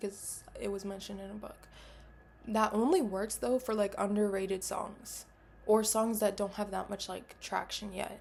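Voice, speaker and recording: A woman talks at a moderate pace in a somewhat breathy, medium-pitched voice with monotone, flat intonation. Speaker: vlogger. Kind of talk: casual monologue to camera. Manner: casual, filler-heavy.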